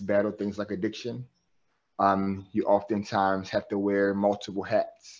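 Over a quiet background, a man with an American accent and fairly low pitch speaks at a moderate pace. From US, West Baltimore, Maryland. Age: 30s. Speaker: clinical social worker and therapist. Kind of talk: interview conversation.

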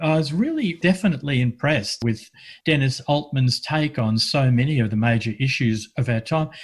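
A man with an Australian accent talks at a fairly high pitch and a moderate pace. His somewhat breathy voice has ordinary pitch variation and very even loudness. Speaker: community radio host. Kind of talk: radio chat. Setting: remote, separate rooms due to lockdown.

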